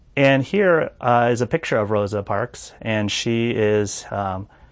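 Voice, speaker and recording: Over a quiet background, a man at medium pitch speaks with fairly even intonation. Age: 40s. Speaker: pastor. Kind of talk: sermon. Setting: church prayer room, recorded without audience. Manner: hesitant, many filler words.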